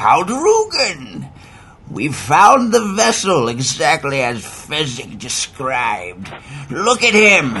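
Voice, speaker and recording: Putting on a character voice, a man speaks at a fairly high pitch and a very slow pace. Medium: audio drama. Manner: vicious, taunting.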